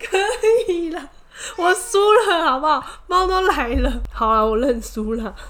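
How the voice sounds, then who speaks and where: A woman with a high, animated voice speaks fairly slowly with very wide pitch swings and long, frequent pauses, in audible room echo. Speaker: podcast co-host. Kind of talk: casual chat. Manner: animated, laughing often.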